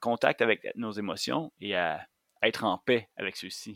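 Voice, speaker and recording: The recording is very clean, with a silent background and a dry, close sound with no echo. A man speaks at a medium pitch. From Quebec, Montérégie. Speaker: outdoor guide and instructor. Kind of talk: casual interview chat.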